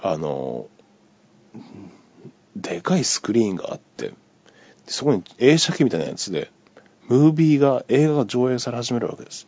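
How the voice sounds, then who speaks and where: The man's medium-pitched voice swings very widely while he keeps a moderate pace. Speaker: podcaster. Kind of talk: casual solo monologue telling a dream. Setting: recorded on iPhone, solo. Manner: rambling, filler-heavy, conversational.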